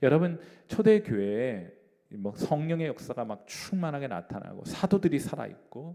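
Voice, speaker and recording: At a moderate pace, a man's dark, mellow voice moves through very wide pitch swings. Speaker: pastor. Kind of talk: bible study lecture.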